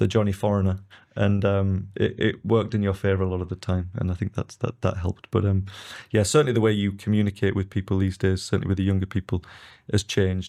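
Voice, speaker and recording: A man speaks very fast in a fairly low pitch with a dark, mellow tone and flat, monotone intonation, on a very clean recording with a silent background. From northeast England. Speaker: real estate executive. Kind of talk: podcast interview.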